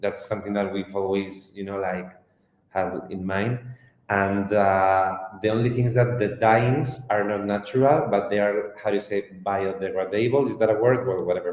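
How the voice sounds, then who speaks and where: Keeping a moderate pace, a man talks in a fairly low pitch with fairly even intonation. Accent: Spanish. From Spain. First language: Spanish. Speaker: fashion company co-founder. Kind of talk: interview.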